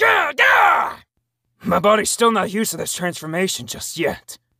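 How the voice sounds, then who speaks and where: A put-on character voice, shouting and strained, fairly high in pitch at a moderate pace. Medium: voice reel. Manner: shouted, strained yells.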